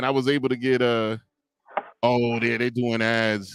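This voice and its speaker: The sound is dry and close with no echo. The pace is moderate. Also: man. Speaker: podcast host and streamer. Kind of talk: casual chat. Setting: live stream.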